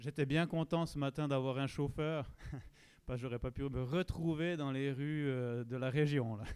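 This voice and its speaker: At a fairly slow pace, a man talks in a fairly high pitch with fairly even intonation. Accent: slight Swiss French. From Switzerland. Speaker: pastor. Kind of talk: church announcements.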